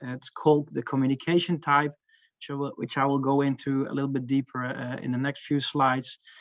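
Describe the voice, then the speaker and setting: The voice carries a Dutch accent. The sound is dry and close, with no echo. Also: man. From Netherlands. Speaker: marketing manager presenting research. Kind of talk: conference talk. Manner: hesitant, many fillers.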